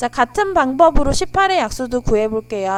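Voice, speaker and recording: The woman's pitch is high. It swings very widely. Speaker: math tutor. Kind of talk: tutorial. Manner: polite explanatory.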